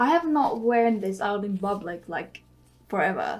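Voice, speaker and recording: A woman with a non-native accent, very slow delivery and lively intonation, over noticeable background noise. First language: not English. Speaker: beauty vlogger. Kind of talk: casual tutorial vlog.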